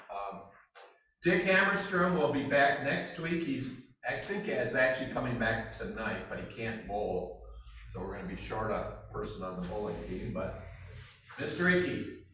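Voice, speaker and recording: Moderate pace, with audible room echo. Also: man. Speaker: club meeting presider. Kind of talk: club announcements. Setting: club meeting room, hybrid with Zoom. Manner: loud. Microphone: room mic sometimes crackly.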